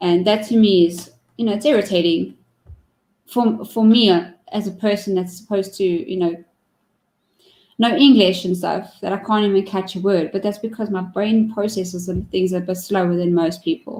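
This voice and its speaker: A woman's medium-pitched voice, dark and mellow in tone, with ordinary pitch variation. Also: moderate pace. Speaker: talk show host and streamer. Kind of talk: casual chat.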